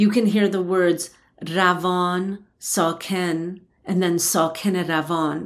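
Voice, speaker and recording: With a slight New Jersey accent, a woman speaks at a very slow pace in a monotone, flat intonation. The recording is very clean, with a silent background. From US, New Jersey. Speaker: poet and translator. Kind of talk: interview conversation.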